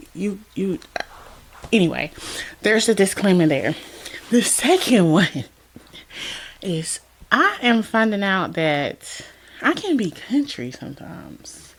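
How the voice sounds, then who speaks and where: A woman with an American accent at medium pitch, very wide pitch swings, a very slow pace and long, frequent pauses, over noticeable background noise. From US South, Georgia. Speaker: lifestyle vlogger. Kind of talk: casual personal vlog. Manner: casual, hesitant with fillers.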